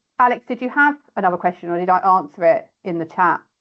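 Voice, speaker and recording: A woman with a British accent speaks at a medium pitch with ordinary pitch variation. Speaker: mortgage adviser. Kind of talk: online workshop Q&A. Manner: fast.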